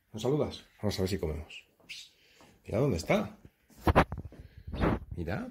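Very wide pitch swings run through this slightly mellow voice at a fairly slow pace, with audible room echo. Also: man.

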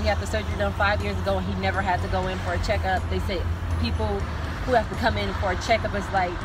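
Over music in the background, a woman speaks at a very fast pace in a dry sound with no echo. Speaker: vlogger. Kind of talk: casual vlog chat. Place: car. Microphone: phone near.

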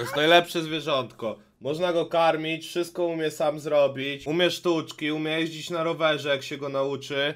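With monotone, flat intonation, a man talks at a moderate pace with hardly any pauses. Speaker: streamer. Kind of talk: casual stream commentary. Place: home room. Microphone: studio mic.

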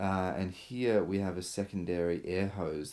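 In a low pitch, a man talks at a fairly slow pace with fairly even intonation and a slightly mellow tone.

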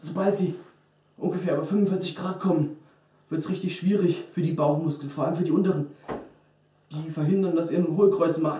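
The intonation stays flat and monotone. Room echo is audible throughout. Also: man, high pitch for a man, fairly quick pace. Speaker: fitness vlogger. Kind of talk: tutorial. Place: gym. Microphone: camera far.

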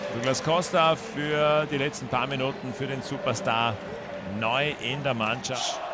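Over noticeable background noise, a man speaks at a fairly slow pace, with a fairly high pitch and ordinary pitch variation. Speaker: football commentator. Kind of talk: live sports commentary of a football match; German-language match broadcast, Austrian viewpoint. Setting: stadium match broadcast.

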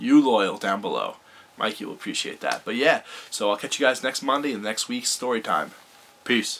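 Over light background noise, a man talks at a moderate pace, his pitch varying in an ordinary way. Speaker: vlogger. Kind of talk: casual story time vlog. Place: home room.

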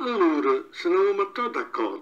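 This man speaks with an Abruzzese accent. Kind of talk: fable reading in local dialect.

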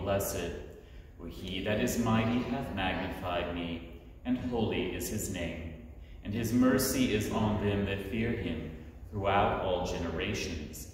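Fairly slow speech in strong room echo with light background noise. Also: man. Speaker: officiant leading evening prayer. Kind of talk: liturgical prayer service. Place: church. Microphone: camera far.

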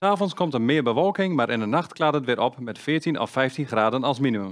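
A man speaks at a moderate pace and a fairly high pitch, with very wide pitch swings. The background is quiet. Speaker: news presenter. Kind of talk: news reading. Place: studio. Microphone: headset.

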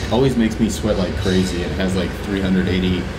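A man talks with noticeable background noise around him. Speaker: fitness vlogger. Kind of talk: casual vlog chat. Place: gym.

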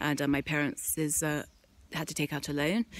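Amid light background noise, a woman speaks at a very fast pace in a dry sound with no echo. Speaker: vlogger. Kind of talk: casual vlog rant. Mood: frustrated, ranting. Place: street. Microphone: phone near.

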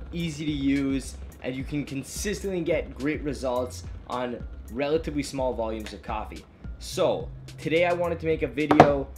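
The speech moves at a moderate pace. Music plays clearly in the background. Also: man. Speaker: coffee shop owner host. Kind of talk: tutorial. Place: home room.

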